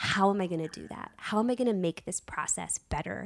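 A woman has an ordinary speaking voice at medium pitch with ordinary pitch variation. She goes at a fairly quick pace in a very clean recording with a silent background. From Virginia, US. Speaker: casting director. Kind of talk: casual interview chat.

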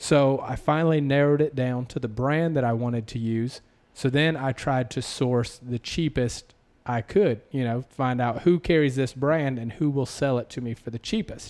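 A man with a slight Southern US accent speaks at a medium pitch and a moderate pace, with ordinary pitch variation. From US South. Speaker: podcast host and apparel entrepreneur. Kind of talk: casual interview chat.

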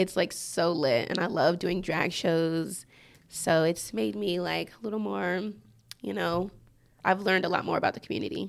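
A woman's fairly low voice, moving at a moderate pace with very wide pitch swings and big shifts in loudness. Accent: American. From Georgia, US. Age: 20s. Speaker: DJ. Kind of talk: casual chat interview.

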